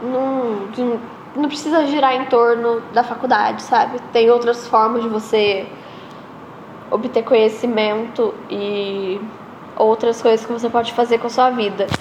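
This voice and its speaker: Over noticeable background noise, a woman with a fairly high voice talks at a fairly slow pace with fairly even intonation. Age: 20s. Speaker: podcaster. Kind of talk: casual monologue. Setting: empty school room after hours.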